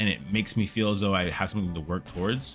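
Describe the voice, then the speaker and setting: Music plays behind a man whose very deep, low voice shows ordinary pitch variation. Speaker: gaming YouTuber and streamer. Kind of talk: casual gameplay commentary. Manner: excited, upbeat.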